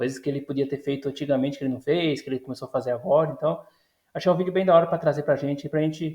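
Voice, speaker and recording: Somewhat breathy, a man with a fairly high pitch talks at a very fast pace. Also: fairly even intonation. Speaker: YouTuber reacting to a video. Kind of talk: casual react commentary. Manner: hesitant, with fillers.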